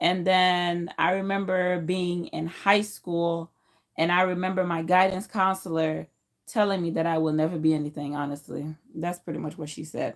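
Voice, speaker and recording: A woman with a Haitian accent speaks at a fairly slow pace with a fairly low voice. Her pitch variation is ordinary, and the recording is very clean with a silent background. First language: Haitian Creole. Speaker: YouTuber. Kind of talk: personal vlog storytelling. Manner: casual with fillers.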